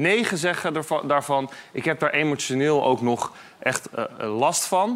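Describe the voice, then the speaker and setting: A man with a fairly high pitch uses a normal speaking voice, his intonation lively. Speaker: political reporter. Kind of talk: casual panel discussion.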